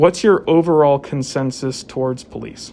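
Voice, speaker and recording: Over noticeable background noise, the speaker talks in an American accent with ordinary pitch variation. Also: man. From southwest Virginia, US. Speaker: police officer. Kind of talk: casual discussion.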